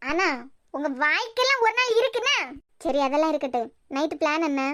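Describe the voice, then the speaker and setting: A woman uses a cartoonish character voice with an extremely high pitch and very wide pitch swings. Her loudness stays very even at a moderate pace. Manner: sassy, domineering.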